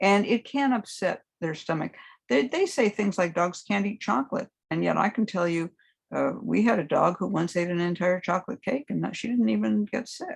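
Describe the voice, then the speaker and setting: Over a quiet background, the voice carries vocal fry and very wide pitch swings at a moderate pace. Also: woman, medium pitch for a woman. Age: 70s. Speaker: herbalist and hoodoo teacher. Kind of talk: casual chat.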